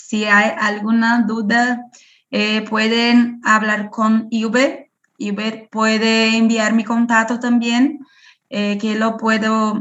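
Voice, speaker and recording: In a non-native accent, a woman speaks very slowly at a fairly high pitch with monotone, flat intonation. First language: Portuguese (speaking Spanish). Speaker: parasitology researcher. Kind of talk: Q&A after online lecture. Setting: video call. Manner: halting.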